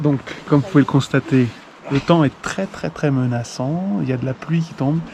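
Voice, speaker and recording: A man talks at a moderate pace in a fairly high voice with ordinary pitch variation. Noticeable background noise is present. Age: 60s. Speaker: hiking vlogger. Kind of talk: casual vlog narration. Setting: outdoors on a hiking trail.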